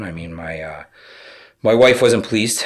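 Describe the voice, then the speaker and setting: A man is speaking. His pace is fairly quick. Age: 30s. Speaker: HVAC company vice president. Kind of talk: casual chat.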